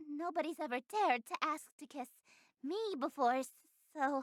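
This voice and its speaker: A put-on character voice, female-sounding and high-pitched, moves along at a moderate pace. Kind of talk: theatrical, aristocratic stage diction. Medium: game stream. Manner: haughty, refined, grandiose.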